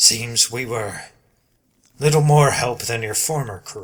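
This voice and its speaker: A man puts on a raspy character voice at a medium pitch. He goes at a fairly slow pace with big swings in loudness. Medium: read story.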